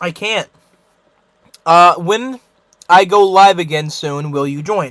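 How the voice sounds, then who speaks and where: This man uses a raised, projected voice with a bright, sharp tone. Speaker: livestreamer. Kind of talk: live stream chat.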